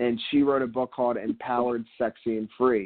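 This man has an unremarkable speaking voice at medium pitch with an American accent. He keeps a moderate pace. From Philadelphia. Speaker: entrepreneur, author. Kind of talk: interview. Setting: radio interview.

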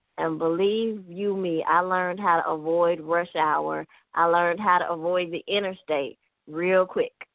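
A woman speaks with a Memphis accent at a moderate pace. Her intonation is monotone and flat. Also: fairly low pitch for a woman. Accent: Southern US (Memphis). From US South, Memphis, Tennessee. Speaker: author. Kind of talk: radio interview.

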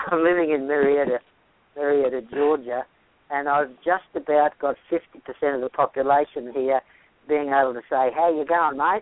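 In an Australian accent, a man with a fairly high pitch talks at a moderate pace with fairly even intonation. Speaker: health practitioner. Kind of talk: interview. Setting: radio or podcast interview.

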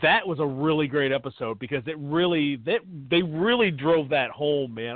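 Here is a man with an ordinary speaking voice, pitched fairly high. He goes at a fairly quick pace with lively intonation. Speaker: podcast co-host. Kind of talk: casual chat.

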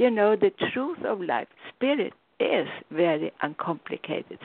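A woman speaks at a fairly slow pace. She has a non-native accent. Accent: foreign-accented English. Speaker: spiritual teacher and radio host. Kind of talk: call-in radio talk.

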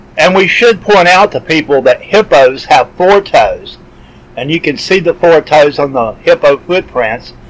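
Lively intonation comes through at a fairly slow pace over noticeable background noise. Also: man, high pitch for a man. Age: 50s. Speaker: podcast host. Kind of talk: interview.

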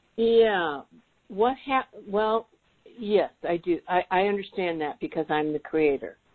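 With an ordinary speaking voice, a woman talks at a fairly slow pace and medium pitch, her intonation lively. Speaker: client in private session. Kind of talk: private session, personal conversation. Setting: phone call.

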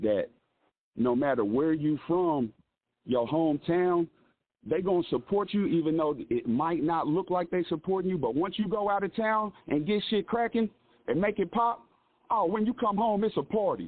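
A man with an American accent speaks at a moderate pace in a high pitch, with lively intonation. His loudness stays very even throughout. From Kansas, US Midwest (Lawrence). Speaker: rapper. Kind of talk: interview.

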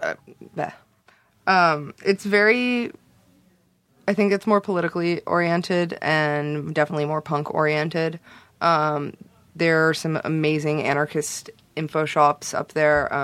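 A woman with a Californian accent speaks with a very deep, low pitch and ordinary pitch variation. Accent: general American, Californian. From US West Coast, Los Angeles (South Bay). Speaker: zine maker and journalist. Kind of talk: casual chat. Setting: studio.

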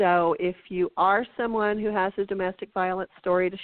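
A woman's unremarkable speaking voice at medium pitch, with fairly even intonation and a fairly slow pace. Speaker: podcast co-host. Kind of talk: casual chat.

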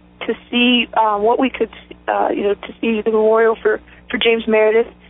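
With an American accent, a woman talks at a moderate pace in a high voice over noticeable background noise. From southern West Virginia. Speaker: civil rights attorney. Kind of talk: interview.

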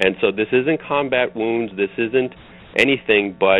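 At a moderate pace, a man talks in a medium pitch with ordinary pitch variation and an unremarkable speaking voice. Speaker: running coach. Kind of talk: interview. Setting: phone call.

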